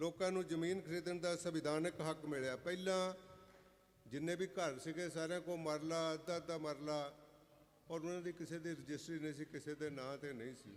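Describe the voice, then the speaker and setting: A man with an unremarkable speaking voice talks at a fairly high pitch with fairly even intonation. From Punjab, India (Jalandhar district village). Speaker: guest speaker, author. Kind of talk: speech at religious gathering. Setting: religious fair gathering, standing at a mic stand.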